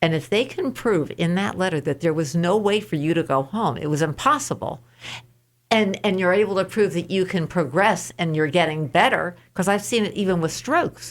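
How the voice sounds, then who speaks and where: With a normal speaking voice and an American accent, a woman talks at a moderate pace with lively intonation on a very clean recording with a silent background. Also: fairly low pitch for a woman. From New York State. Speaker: insurance claims advocate. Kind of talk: radio interview.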